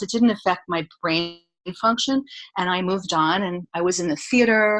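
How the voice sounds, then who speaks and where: This woman has an unremarkable speaking voice, medium in pitch with ordinary pitch variation. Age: 60s. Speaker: health coach and somatic educator. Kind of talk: interview.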